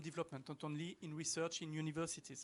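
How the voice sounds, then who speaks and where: The speaker has a French accent. The pace is fairly quick. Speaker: professor. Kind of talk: conference talk.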